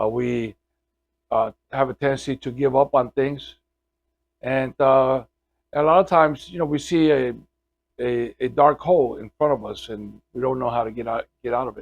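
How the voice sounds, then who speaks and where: A man speaks at medium pitch and a moderate pace with ordinary pitch variation, taking long, frequent pauses. His loudness swings widely, and the sound is dry and close with no echo. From Puerto Rico, raised in New York City. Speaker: pastor. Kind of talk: testimony. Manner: halting, many filler words.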